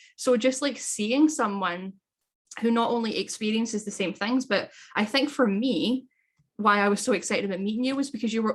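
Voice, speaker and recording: This woman speaks fairly quickly in a fairly high, somewhat breathy voice with ordinary pitch variation. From Scotland. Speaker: coach and podcast host. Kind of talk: casual chat.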